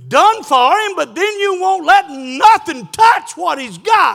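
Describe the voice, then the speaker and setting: A man talks with a Southern US accent. His pace is very slow and his pitch swings very widely. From South Carolina. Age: 70s. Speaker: pastor. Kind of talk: sermon. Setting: church.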